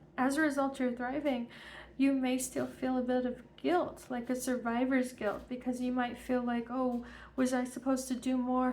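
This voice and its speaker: Flat, monotone delivery from a woman with a high pitch at a moderate pace, with audible room echo. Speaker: tarot reader. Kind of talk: tarot reading. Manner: halting.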